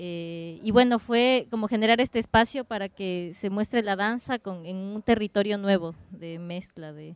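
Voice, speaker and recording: In an ordinary speaking voice with ordinary pitch variation, the speech runs at a fairly slow pace with hardly any pauses and big swings in loudness, recorded dry and close with no echo over a quiet background. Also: woman, medium pitch for a woman. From Ecuador. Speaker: dance curator. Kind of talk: roundtable introduction. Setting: open discussion at a cafe.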